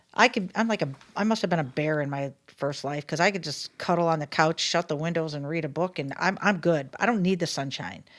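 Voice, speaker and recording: A woman speaks in a plain, everyday voice at a fairly quick pace, with hardly any pauses. Her pitch is fairly low with ordinary variation, on a very clean recording with a silent background. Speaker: local podcast co-host. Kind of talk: casual chat.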